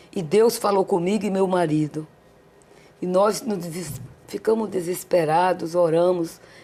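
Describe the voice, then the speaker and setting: A woman's fairly low pitch with a dark, mellow tone, ordinary pitch variation and a very slow pace. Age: 60s. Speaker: church women's leader, pastor's wife. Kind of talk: testimony.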